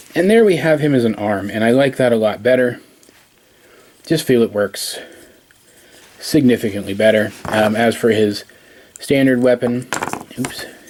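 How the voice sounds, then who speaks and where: Against noticeable background noise, a man speaks at a moderate pace with long, frequent pauses. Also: medium pitch for a man, ordinary pitch variation. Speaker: toy reviewer. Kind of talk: tutorial. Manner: halting.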